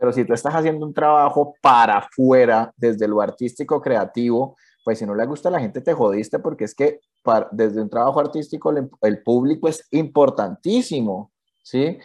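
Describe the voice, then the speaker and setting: A man with an unremarkable speaking voice, medium pitch, ordinary pitch variation and a moderate pace, over a quiet background. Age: 30s. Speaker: cartoonist. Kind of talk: interview.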